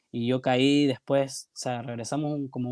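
A man's monotone, flat delivery comes through with a dry, close sound and no echo. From Guayaquil, Ecuador. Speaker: filmmaker and photographer. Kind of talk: casual interview chat.

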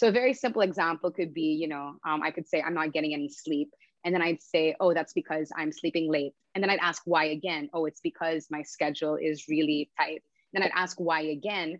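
Someone with an American accent talks at a fairly quick pace with ordinary pitch variation. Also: woman, very deep, low pitch for a woman. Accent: mostly American-sounding English. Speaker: UX designer. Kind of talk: casual podcast interview.

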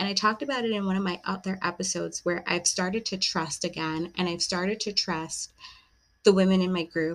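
A woman's plain, everyday voice, medium in pitch, at a fairly quick pace with fairly even intonation. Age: 30s. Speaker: podcast host. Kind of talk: solo monologue. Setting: home recording with a glass of wine.

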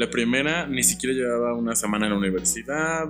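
Over background music, a man with a medium-pitched voice talks at a very fast pace. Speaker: medical student. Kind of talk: casual chat.

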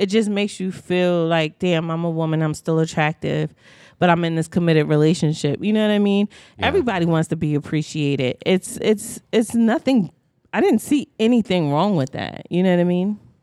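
At a fairly quick pace, a woman talks in a dark, mellow tone with ordinary pitch variation. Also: dry, close sound with no echo. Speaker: podcast co-host. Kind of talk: casual chat. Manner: loud.

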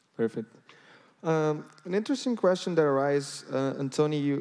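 A man with a Brazilian accent. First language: Portuguese. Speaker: interviewer, education executive. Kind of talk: interview.

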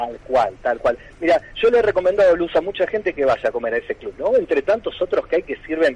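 A man talks at a fairly quick pace with hardly any pauses. The sound is dry and close, with no echo. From Tandil, Buenos Aires province, Argentina. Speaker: history teacher and book author. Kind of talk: radio interview.

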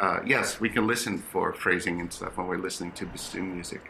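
A man with an American accent and a bright, sharp tone, at a moderate pace. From New York City. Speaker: orchestral bassoonist and teacher. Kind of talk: interview conversation. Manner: passionate.

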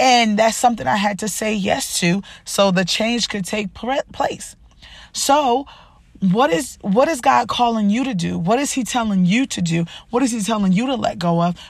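Somewhat breathy and animated in tone, a woman talks at a moderate pace with lively intonation. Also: fairly high pitch for a woman. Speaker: podcast host and life coach. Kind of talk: motivational talk.

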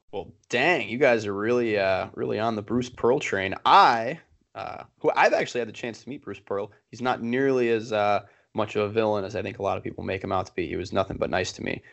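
An ordinary speaking voice from a man with an American accent, medium pitch, ordinary pitch variation and a fairly quick pace. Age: 20s. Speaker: sports podcast co-host. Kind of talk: casual chat.

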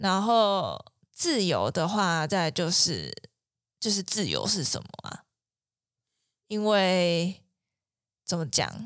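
A woman speaks at a very slow pace with long, frequent pauses, captured on a very clean recording with a silent background. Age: 20s. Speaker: clinical psychologist. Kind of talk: casual chat.

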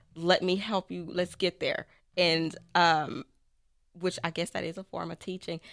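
A woman speaks at a fairly low pitch and a fairly slow pace, with monotone, flat intonation and long, frequent pauses. The recording is very clean with a silent background, and the sound is dry and close with no echo. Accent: American. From Texas. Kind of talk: casual interview.

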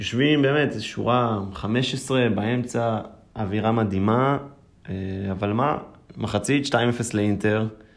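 A man with a medium-pitched voice talks amid audible room echo. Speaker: football fan, engineering student. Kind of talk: casual chat.

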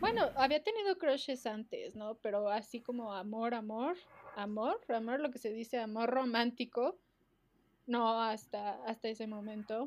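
A woman with a fairly high pitch and ordinary pitch variation has a plain, everyday voice. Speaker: podcast co-host. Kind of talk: casual chat.

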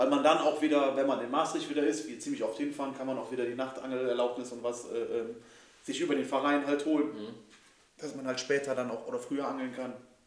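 In a room with audible echo, a man speaks very fast in a monotone, flat delivery. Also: fairly high pitch for a man. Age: 30s. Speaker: podcast host, angler. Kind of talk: casual chat. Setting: club house.

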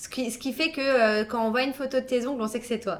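A plain, everyday voice at a fairly quick pace. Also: woman. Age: 30s. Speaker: beautician and podcast host. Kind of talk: scripted narration; casual chat.

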